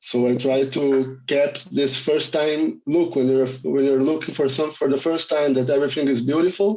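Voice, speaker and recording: In a Brazilian accent, a man speaks at a moderate pace with hardly any pauses and very even loudness. His pitch is fairly high, his tone dark and mellow, and his intonation fairly even. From Rio de Janeiro, Brazil. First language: Portuguese. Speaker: filmmaker, cinematographer. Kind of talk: film Q&A.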